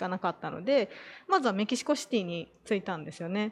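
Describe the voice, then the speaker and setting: Over a quiet background, a woman speaks at fairly high pitch with very wide pitch swings. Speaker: former expat parent. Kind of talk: casual chat.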